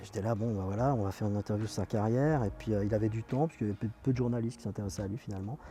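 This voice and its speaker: Over music in the background, a man with a fairly low pitch speaks at a very fast pace with hardly any pauses and fairly even intonation. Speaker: radio presenter and film critic. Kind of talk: interview answer. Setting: outdoors.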